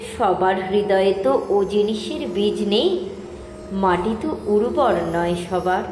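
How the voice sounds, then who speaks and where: A woman's voice, with ordinary pitch variation, carries over noticeable background noise. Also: medium pitch for a woman, very even loudness. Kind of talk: poetry reading.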